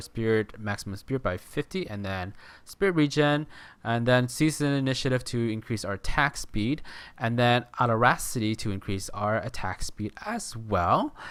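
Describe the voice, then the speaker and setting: Lively intonation runs through a man's medium-pitched voice at a moderate pace on a very clean recording with a silent background. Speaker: gaming video creator. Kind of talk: gameplay tutorial. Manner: halting, many fillers and restarts.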